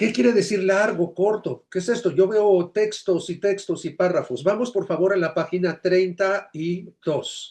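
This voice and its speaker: A man with a high voice, ordinary pitch variation, and a fairly slow pace against a quiet background. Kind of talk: lecture.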